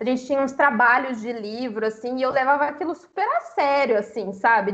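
Noticeable background noise behind a woman's moderately paced speech with ordinary pitch variation. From Brazil, Minas Gerais. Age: 20s. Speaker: book influencer. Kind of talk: casual chat.

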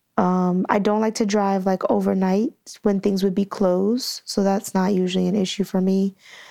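On a very clean recording with a silent background, a woman with a dark, mellow tone and medium pitch speaks at a moderate pace in a monotone, flat intonation with very even loudness. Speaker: fitness business owner. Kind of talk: casual chat.

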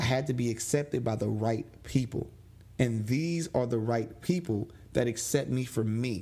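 At a moderate pace, a man speaks in a medium pitch with a dark, mellow tone, somewhat breathy, with ordinary pitch variation. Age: 30s. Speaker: podcast host and DJ. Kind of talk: solo monologue, personal reflection. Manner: animated.

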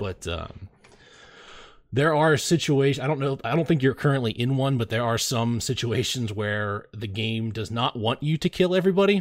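Here is a man with an ordinary speaking voice at a medium pitch. He talks at a moderate pace with lively intonation. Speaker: podcast host. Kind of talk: casual chat. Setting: video call.

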